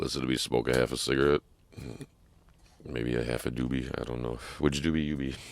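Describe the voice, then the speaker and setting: A man with a very deep, low pitch and vocal fry talks at a fairly quick pace in a monotone, flat intonation, broken by long, frequent pauses. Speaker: podcast host. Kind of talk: casual solo podcast talk. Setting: truck stop. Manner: casual, profane.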